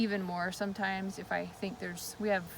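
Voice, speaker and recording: A woman's medium-pitched, monotone voice with flat intonation at a fairly quick pace. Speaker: flower farmer. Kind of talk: tutorial. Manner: fast; casual, with fillers.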